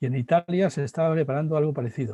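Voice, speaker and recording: A man speaks in a dark, mellow tone, somewhat breathy, with ordinary pitch variation. The sound is dry and close, with no echo. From Spain. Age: 60s. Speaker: philosopher and professor. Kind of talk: interview.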